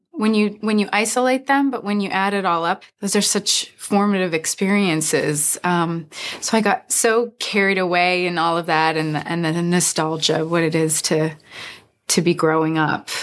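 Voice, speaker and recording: At a moderate pace, a woman with a fairly low pitch speaks in an ordinary speaking voice with ordinary pitch variation. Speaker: actress. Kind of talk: press interview.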